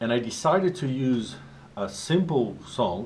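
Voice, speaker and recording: Lively intonation from a man at a medium pitch. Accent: Portuguese. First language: Portuguese. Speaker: professional drummer and drum teacher. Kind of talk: tutorial. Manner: halting, with frequent restarts.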